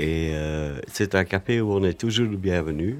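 A very deep, low-pitched man at a very slow pace, with ordinary pitch variation. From Flanders. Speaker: café regular. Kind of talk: casual chat. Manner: halting.

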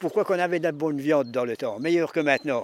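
A high-pitched man's voice at a very fast pace, with ordinary pitch variation. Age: 80s+. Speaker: pig slaughterer. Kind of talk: casual talk while working.

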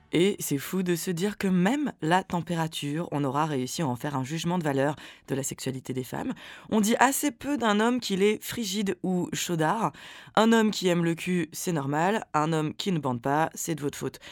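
Very wide pitch swings mark a woman's voice in a very clean recording with a silent background. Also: moderate pace. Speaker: podcast co-host. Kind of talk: casual chat with scripted segments.

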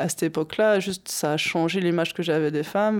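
The voice moves at a fairly quick pace with a fairly even intonation. The recording is very clean, with a silent background. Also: woman. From Normandy, France. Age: 30s. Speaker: boxer, former prisoner. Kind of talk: testimony. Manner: hesitant.

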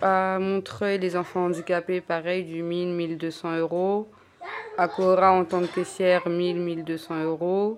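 A woman's fairly low-pitched voice, monotone and flat, at a very slow pace. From Paris suburbs (Garges-lès-Gonesse). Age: 20s. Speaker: unemployed young mother. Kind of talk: casual chat. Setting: home kitchen.

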